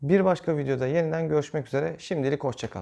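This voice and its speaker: Against a quiet background, a man talks at a fairly quick pace. His pitch is fairly high with ordinary variation, and his tone is dark and mellow. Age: 30s. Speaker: YouTuber. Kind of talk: channel intro vlog. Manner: hesitant, frequent fillers. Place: home room.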